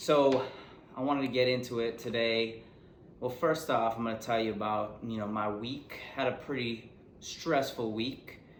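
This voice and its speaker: With audible room echo, a man talks at a moderate pace in a medium pitch with fairly even intonation. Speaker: podcast host. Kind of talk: casual chat. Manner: casual, rambling.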